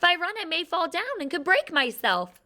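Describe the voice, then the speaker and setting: A woman's squeaky, put-on character voice at an extremely high pitch and moderate pace. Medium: read story. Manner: prim, proper.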